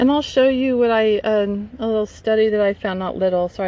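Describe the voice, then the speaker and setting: A woman with a medium pitch and ordinary pitch variation speaks at a fairly quick pace, with noticeable background noise behind her. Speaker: property owner vlogging a utility dispute. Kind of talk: casual vlog talking to camera. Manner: loud, raised voice.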